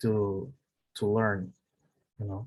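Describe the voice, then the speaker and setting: With a Brazilian Portuguese accent, a man speaks fairly slowly at a fairly low pitch against a quiet background. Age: 30s. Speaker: English learner. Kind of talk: online language lesson conversation. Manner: halting, many fillers and repetitions.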